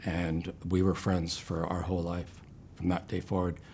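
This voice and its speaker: With a Canadian accent, this man talks in a very deep, low pitch. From Ontario, Canada (Brantford area). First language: home sign (raised by deaf parents). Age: 70s. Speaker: cancer patient. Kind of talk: interview testimony. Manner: halting, many fillers; gentle, reserved.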